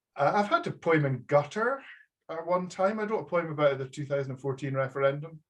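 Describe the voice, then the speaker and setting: This man speaks with a strong Aberdeen accent at a fairly quick pace. His voice is fairly high-pitched and somewhat breathy, with ordinary pitch variation. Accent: thick Aberdonian Scottish. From Scotland, Aberdeenshire. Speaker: publisher. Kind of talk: casual chat. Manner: halting.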